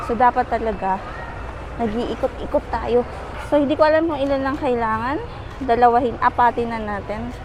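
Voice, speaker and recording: A woman speaks in a high pitch. Noticeable background noise can be heard. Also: ordinary pitch variation, fairly quick pace. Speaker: lifestyle vlogger. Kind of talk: casual vlog narration. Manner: animated.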